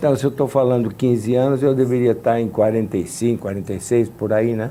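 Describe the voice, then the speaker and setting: A man's dark, mellow voice moves at a fairly quick pace. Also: medium pitch for a man, fairly even intonation. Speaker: composer and pianist. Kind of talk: interview. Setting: studio.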